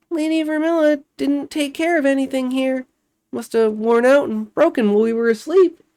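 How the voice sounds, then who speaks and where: This put-on character voice sits high in pitch and moves at a moderate pace. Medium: read story.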